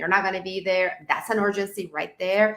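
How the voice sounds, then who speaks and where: This woman speaks with a non-native accent. Her pitch is medium. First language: not English. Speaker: online course creator. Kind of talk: interview.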